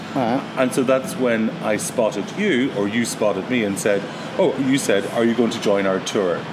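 A man of medium pitch speaks at a moderate pace with ordinary pitch variation. Noticeable background noise runs underneath. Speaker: podcast host. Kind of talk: interview.

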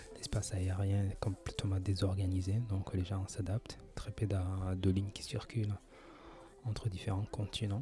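A man speaks with monotone, flat intonation at a fairly slow pace. His pitch sits fairly low. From France. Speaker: podcaster. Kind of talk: casual monologue. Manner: halting, many hesitations.

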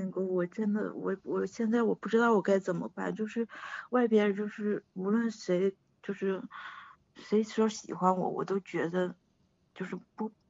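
This woman talks fairly slowly, her medium-pitched voice following fairly even intonation. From Shandong, China. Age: 40s. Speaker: caller. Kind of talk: call-in advice chat. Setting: phone call. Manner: halting.

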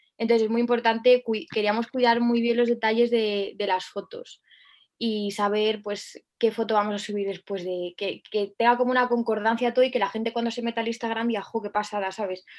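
A woman talks at a fairly quick pace in a fairly high voice. Her intonation is monotone and flat. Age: 20s. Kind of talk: interview.

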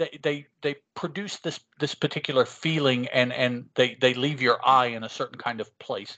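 A man with a normal speaking voice and fairly high pitch talks at a fairly slow pace. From West Virginia, moved from Chicago as a small child. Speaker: podcaster. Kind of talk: casual chat.

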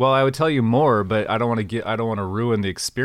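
A natural reading voice and its ordinary pitch variation

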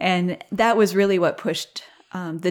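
A woman speaks in an unremarkable speaking voice with an American accent, at medium pitch and a moderate pace. The recording is very clean, with a silent background. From southeast Minnesota. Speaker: sheep farmer and nonprofit program director. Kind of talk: casual interview.

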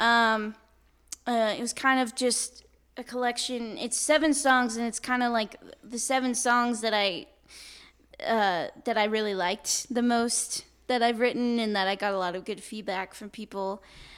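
With an American accent, a woman speaks at a moderate pace in a fairly high voice and fairly even intonation. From US West Coast, Napa, California. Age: 20s. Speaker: singer-songwriter. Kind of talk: interview. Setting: coffee shop.

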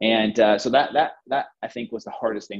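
A plain, everyday voice from a man, moderately paced, its pitch varying in an ordinary way. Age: 40s. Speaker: fitness trainer. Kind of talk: casual interview.

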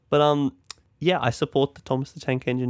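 A man with an Australian accent talking at a very fast pace, dry and close with no echo. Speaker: podcast co-host. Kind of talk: casual chat.

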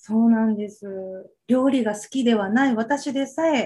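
Her voice somewhat breathy and dark, mellow in tone, a woman speaks at a fairly slow pace and a fairly high pitch. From Okinawa, Japan. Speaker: medicinal cooking instructor. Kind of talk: interview.

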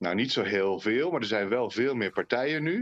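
Lively intonation marks this man's unremarkable speaking voice. He keeps a moderate pace. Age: 40s. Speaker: former member of parliament, children's rights consultant. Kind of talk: podcast interview.

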